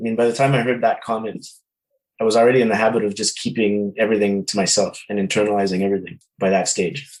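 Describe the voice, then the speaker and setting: This man talks at a very fast pace with a Canadian accent, a medium pitch and fairly even intonation. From Quebec, Canada (from Ottawa until about 8). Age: 40s. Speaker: musician. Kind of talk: interview, personal testimony. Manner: halting, many repeated words and fillers.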